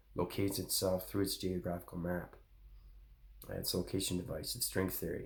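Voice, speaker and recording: Pausing long and often, a man speaks at a very deep, low pitch with vocal fry and fairly even intonation. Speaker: spiritual channel host. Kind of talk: spiritual monologue. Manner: fast.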